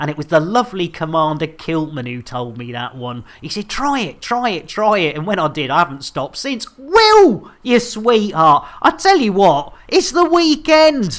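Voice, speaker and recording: With a British accent and an animated tone, the speaker keeps a moderate pace with hardly any pauses. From Britain. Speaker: game streamer. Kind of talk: live gaming stream chat. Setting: live stream. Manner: animated, jokey.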